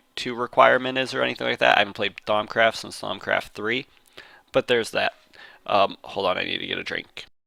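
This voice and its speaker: With vocal fry and a bright, sharp tone, a man talks at a fairly low pitch in a dry, close sound with no echo. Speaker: gaming video creator. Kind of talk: gameplay tutorial. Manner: fast.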